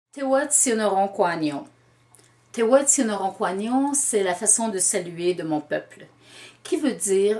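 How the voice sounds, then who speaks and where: A woman with a Quebec accent, lively intonation and a very slow pace. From Quebec, Canada. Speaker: storyteller. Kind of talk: interview answer.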